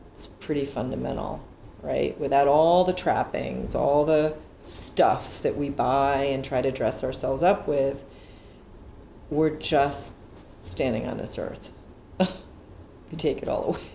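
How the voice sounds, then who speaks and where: Room echo can be heard. The woman talks at a fairly slow pace. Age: 50s. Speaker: photographer. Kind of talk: interview. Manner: halting.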